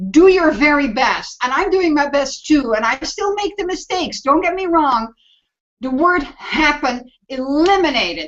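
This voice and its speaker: A woman's high voice with lively intonation. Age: 60s. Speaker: mastermind group member. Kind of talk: casual group video chat. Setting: video call. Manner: animated.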